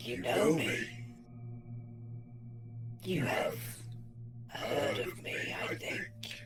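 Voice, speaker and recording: Against clear music in the background, a man in a put-on character voice speaks very slowly with a gravelly, medium-pitched voice. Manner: ominous.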